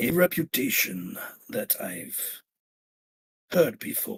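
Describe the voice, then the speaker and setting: This is a put-on character voice with a raspy quality. The pitch sits in the middle range. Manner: mysterious.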